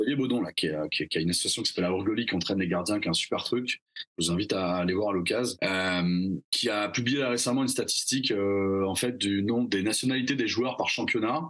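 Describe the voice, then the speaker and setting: In a normal speaking voice, a man talks at a very even loudness and a fairly low pitch with ordinary pitch variation. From southwest France, Bordeaux. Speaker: hockey card collector. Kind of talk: casual interview.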